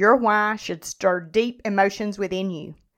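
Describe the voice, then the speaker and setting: On a very clean recording with a silent background, a woman with a plain, everyday voice speaks at a fairly slow pace. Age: 50s. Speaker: podcast host and nutrition and fitness coach. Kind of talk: solo educational podcast monologue.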